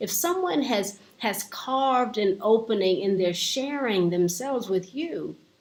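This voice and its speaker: A woman's fairly high voice with lively intonation, at a fairly slow pace with hardly any pauses, over noticeable background noise. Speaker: life coach. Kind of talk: inspirational talk. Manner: slow, with pauses.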